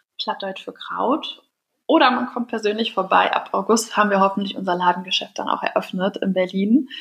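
A woman speaks at a moderate pace in a medium pitch, with ordinary pitch variation. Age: 20s. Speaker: entrepreneur. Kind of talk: interview.

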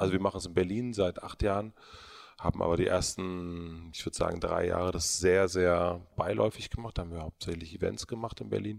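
The recording is very clean, with a silent background. A man with a very deep, low pitch talks at a fairly quick pace with ordinary pitch variation. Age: 30s. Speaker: media entrepreneur. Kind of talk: interview. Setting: studio.

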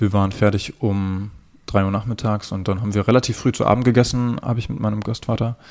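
A man speaks at a fairly quick pace. His voice is fairly low and monotone, with flat intonation. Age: 20s. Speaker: young man with a rare eye disease, para alpine skier. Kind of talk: interview.

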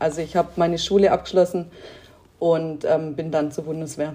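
This woman's voice has a dark, mellow tone. She keeps a moderate pace. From Lake Constance area, southern Germany (Swabia). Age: 30s. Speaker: sport shooter. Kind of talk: interview. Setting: remote interview from home.

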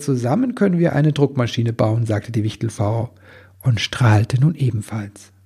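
The clip features an unforced reading voice.

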